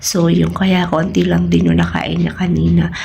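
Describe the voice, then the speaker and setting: A woman speaks at a fairly slow pace. Audible room echo and noticeable background noise surround her voice. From Philippines. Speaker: family vlogger. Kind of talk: casual vlog talk. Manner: casual, conversational.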